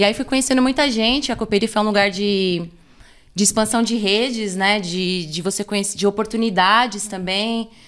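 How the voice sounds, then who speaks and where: In an ordinary speaking voice, a woman talks at a moderate pace with a medium pitch and fairly even intonation, on a very clean recording with a silent background. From São Paulo Zona Sul, Brazil. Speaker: cultural producer. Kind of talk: casual podcast interview.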